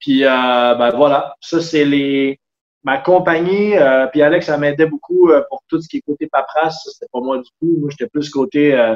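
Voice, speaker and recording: Speaking at a fairly slow pace, this man has a fairly high pitch, ordinary pitch variation, and big swings in loudness. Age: 30s. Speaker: sailor and carpenter. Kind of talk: casual interview.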